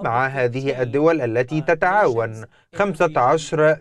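A man speaks at a very slow pace in a fairly high pitch, with ordinary pitch variation. The sound is dry with no echo, with light background noise. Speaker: navy spokesperson. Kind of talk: TV news interview. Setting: remote video link. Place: studio. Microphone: lapel.

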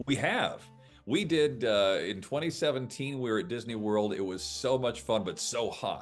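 Over faint background music, a man speaks with very wide swings in pitch. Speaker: game show announcer and voice actor. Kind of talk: casual interview answer over video call. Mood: cheerful, friendly. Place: home room. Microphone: video call.

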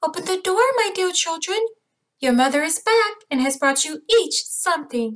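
A woman puts on an extremely high-pitched character voice. Her tone is gentle and her pace moderate.

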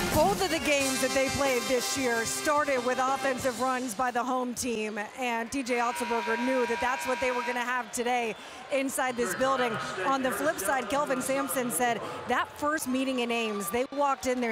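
Against clear music in the background, a woman speaks at a high pitch with very even loudness. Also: dry sound with no echo. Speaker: sideline reporter. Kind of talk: live sports reporting; sports broadcast sideline report. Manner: brisk, informative. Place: stadium.

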